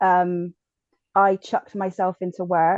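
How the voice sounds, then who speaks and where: A woman's medium-pitched voice with a strong Bristol accent, dark and mellow in tone, dry and close with no echo, over a quiet background. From Bristol, south-west England. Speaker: podcast guest, bereaved mother. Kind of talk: personal testimony. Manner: hesitant, many fillers.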